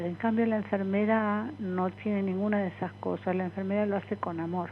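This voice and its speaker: A woman at a medium pitch speaks with fairly even intonation. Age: 70s. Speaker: nurse. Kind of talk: interview.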